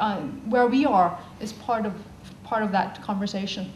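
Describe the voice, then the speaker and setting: A woman speaks at a moderate pace in a fairly high pitch with ordinary pitch variation, with audible room echo and noticeable background noise. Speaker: social scientist giving a talk. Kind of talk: conference talk.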